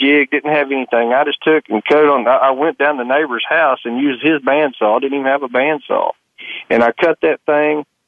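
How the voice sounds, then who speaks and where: A man speaks with a Southern US accent. His pitch is fairly high and his pace fairly quick. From Arkansas, US South. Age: young. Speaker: duck call maker. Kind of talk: interview. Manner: halting, many repetitions.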